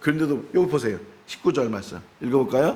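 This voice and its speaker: Fairly high in pitch, a man with an unremarkable speaking voice talks at a fairly quick pace with ordinary pitch variation. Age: 60s. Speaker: pastor. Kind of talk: sermon. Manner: conversational.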